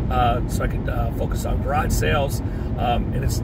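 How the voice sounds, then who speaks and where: Against loud background noise, a man speaks at a fairly quick pace in a dry recording with no echo. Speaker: part-time online reseller. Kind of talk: casual vlog chat. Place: car. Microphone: phone near.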